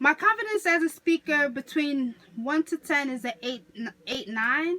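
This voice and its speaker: In a New York accent, a woman projects a raised voice at a high pitch and a fairly slow pace, her intonation lively. The sound is dry and close with no echo, and background noise is noticeable. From New York City (Queens). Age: 20s. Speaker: college student. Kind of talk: class speech assignment. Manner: casual, self-correcting.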